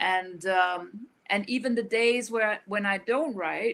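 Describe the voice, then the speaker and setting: A woman speaks with a Danish accent at a fairly slow pace. Her pitch is fairly high, with ordinary variation. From rural Denmark. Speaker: author. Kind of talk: interview. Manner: halting.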